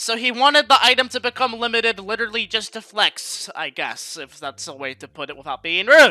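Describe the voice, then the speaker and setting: A man speaks at a fairly quick pace in a raised, projected voice at an extremely high pitch, the sound dry and close with no echo despite noticeable background noise. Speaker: gaming commentary youtuber. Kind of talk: scripted narration. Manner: casual.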